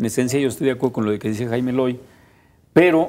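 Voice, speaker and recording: The voice belongs to a man with a medium pitch. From Mexico (Jalisco). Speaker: civil association leader; TV guest. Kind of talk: panel discussion. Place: studio.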